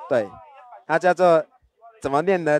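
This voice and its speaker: This man's voice sits high for a man and sounds dry and close, with no echo at all. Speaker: traditional music performer. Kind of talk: explanatory interview.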